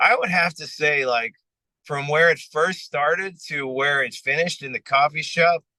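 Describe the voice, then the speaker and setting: In an American accent, a man with a fairly high pitch and a bright, sharp tone speaks at a moderate pace with ordinary pitch variation, the sound dry and close with no echo. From United States. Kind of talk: interview. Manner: casual.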